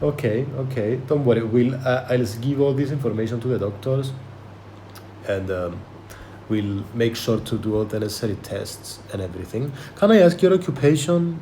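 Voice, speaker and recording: In a room with audible echo, a man with a non-native accent speaks at a moderate pace, his medium pitch carried by lively intonation. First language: not English. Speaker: podcast host. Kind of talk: medical history-taking role play. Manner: halting, many fillers and repetitions.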